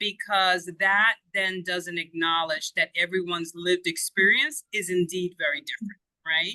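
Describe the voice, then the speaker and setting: A woman speaks with a non-native accent at a moderate pace, her pitch medium and its variation ordinary. Her tone is bright and sharp, and the sound is dry and close with no echo. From outside the US. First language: not English. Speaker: education consultant. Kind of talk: interview.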